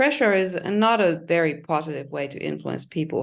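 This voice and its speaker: Against a quiet background, a woman with a non-native accent and vocal fry speaks at a moderate pace, her pitch fairly low with ordinary variation. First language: not English. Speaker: leadership coach. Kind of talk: webinar presentation. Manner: halting.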